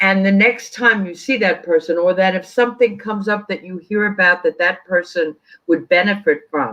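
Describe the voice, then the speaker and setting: A woman's bright, sharp tone at medium pitch, with a New York accent, moderate pace and ordinary pitch variation. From New York City, Queens. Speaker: sports team community relations executive. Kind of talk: interview conversation.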